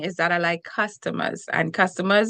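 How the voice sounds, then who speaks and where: Against a quiet background, a woman speaks with a Trinidadian accent in a bright, sharp tone. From Trinidad and Tobago. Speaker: relationship coach and TV host. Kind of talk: interview. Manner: energetic.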